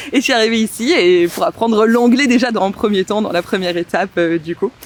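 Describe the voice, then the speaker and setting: Speech moves at a fairly quick pace with lively intonation. Noticeable background noise runs underneath. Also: woman. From southern France (Montpellier). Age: 20s. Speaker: wedding planner. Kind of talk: casual podcast interview. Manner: hesitant, many fillers.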